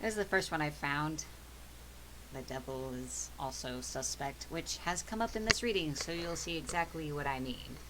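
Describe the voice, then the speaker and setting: Noticeable background noise behind a soft-spoken woman talking at a moderate pace. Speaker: tarot reader and spiritual stream host. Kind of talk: tarot reading livestream. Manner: quieter than usual.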